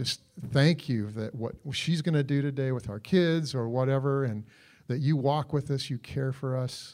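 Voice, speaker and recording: Heard in a very clean recording with a silent background, a man with a normal speaking voice talks at medium pitch with ordinary pitch variation. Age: 60s. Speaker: marriage conference speaker. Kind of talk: church marriage Q&A talk.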